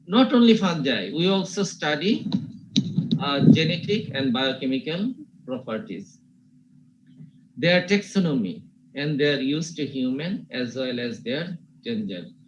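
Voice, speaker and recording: At a fairly slow pace with long, frequent pauses, a man's fairly high voice makes very wide pitch swings in a room with audible echo. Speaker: teacher. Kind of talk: lecture.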